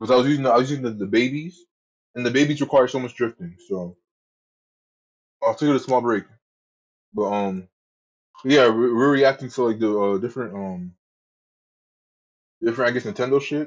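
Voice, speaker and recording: A man of medium pitch speaks at a fairly quick pace with ordinary pitch variation, broken by long, frequent pauses. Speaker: streamer. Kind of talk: casual chat. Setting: live stream. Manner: animated.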